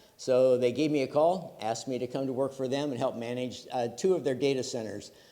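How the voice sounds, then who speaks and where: Heard with audible room echo, a man talks in a dark, mellow tone at a medium pitch. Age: 70s. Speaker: retired computer engineer, conference speaker. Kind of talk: conference talk. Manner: many filler words.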